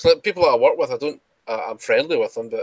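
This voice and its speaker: Speech at a very fast pace comes through in a dry, close sound with no echo. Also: man. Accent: Scottish. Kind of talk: casual chat.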